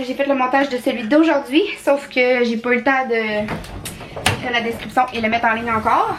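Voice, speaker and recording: A woman speaks with a high pitch and ordinary pitch variation over noticeable background noise. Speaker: vlogger. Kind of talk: casual vlog talk to camera. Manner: fast.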